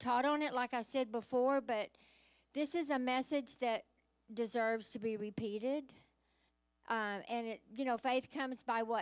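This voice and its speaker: A woman speaks at a moderate pace with a high pitch and fairly even intonation. The background is quiet. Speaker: pastor. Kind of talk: sermon. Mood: warm, joyful. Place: church. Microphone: handheld.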